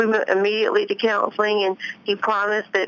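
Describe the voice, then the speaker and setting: With noticeable background noise behind her, a woman speaks with an American accent. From US South, Tennessee near Memphis. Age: 30s. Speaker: author and ex-wife of a pro golfer. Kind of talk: interview.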